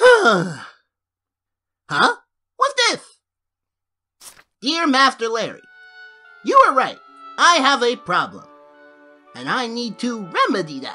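In a cartoonish character voice that sounds female, the speaker talks at a fairly high pitch and a fairly slow pace, with long, frequent pauses and faint music in the background. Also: big swings in loudness. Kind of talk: cartoon comic voice acting. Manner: excitable, goofy.

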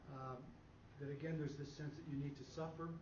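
Audible room echo surrounds a man with a fairly high voice, who talks fairly quickly with fairly even intonation.

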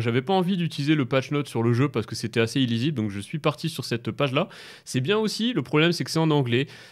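A man speaks very fast. His pitch is fairly high. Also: quiet background. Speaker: gaming YouTuber and streamer; gaming YouTuber, streamer. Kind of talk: gaming commentary video. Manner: hesitant, many fillers.

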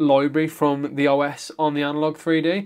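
Over a quiet background, a man with a British accent speaks in a fairly high voice. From UK. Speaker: gaming YouTuber. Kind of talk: tutorial. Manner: casual, conversational. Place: home room.

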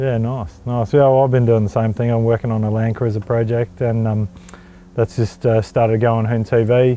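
With an Australian accent, a man talks at a moderate pace in a flat monotone, the sound dry with no echo and light noise behind him. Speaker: motoring channel host; interview host. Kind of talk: casual interview. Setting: outdoors at a speedway. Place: stadium. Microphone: lapel.

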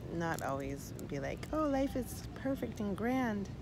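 A woman speaks at a very slow pace over loud background noise. The sound is dry, with no echo. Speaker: vlogger. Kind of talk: casual vlog chat. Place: open country. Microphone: phone near.

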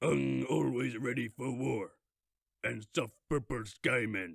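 Put-on character voice from a man, medium in pitch, delivered at a fairly slow pace. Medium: dub.

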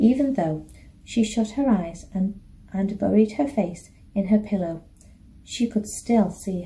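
The delivery is plain reading aloud. Nothing more marks the voice.

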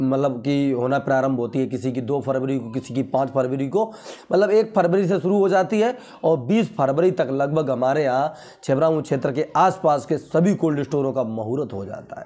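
A man's fairly high pitch with a dark, mellow tone at a moderate pace. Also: lively intonation. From Uttar Pradesh, India. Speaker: potato market news youtuber. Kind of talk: market update vlog. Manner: casual, conversational. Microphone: lapel.

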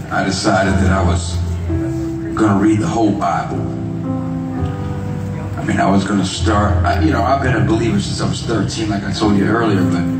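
Clear music plays in the background, and audible room echo fills the space. The speech has long, frequent pauses. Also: man. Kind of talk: stage talk to audience. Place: stage.

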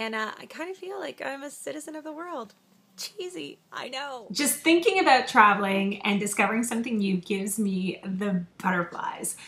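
A woman with a Canadian accent speaks at a moderate pace in a fairly high pitch, her voice swinging very widely in pitch and greatly in loudness over noticeable background noise. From Canada. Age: 30s. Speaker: radio personality. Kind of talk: audition reel. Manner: animated.

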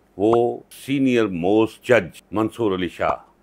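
Pitch moves in an ordinary way here. The voice belongs to a man. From Pakistan. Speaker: vlogger and lawyer commenting on politics; vlogger, lawyer commenting on politics. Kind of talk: political commentary vlog. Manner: impassioned. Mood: angry, critical. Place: office.

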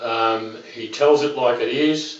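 A man with an Australian accent, with audible room echo. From Australia, Melbourne. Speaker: internet marketer. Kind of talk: testimonial; testimonial talk to camera. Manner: halting, many fillers. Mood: earnest, persuasive.

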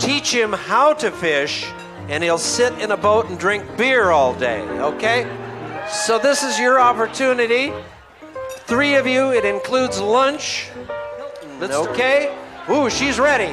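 Very slowly, a man talks while clear music plays in the background. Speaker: live benefit auctioneer. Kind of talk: humorous banter between bids. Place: hall.

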